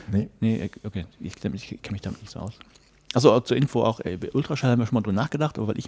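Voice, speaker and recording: Mumbling very fast, a man speaks with a dark, mellow tone. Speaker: podcaster. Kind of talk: casual chat.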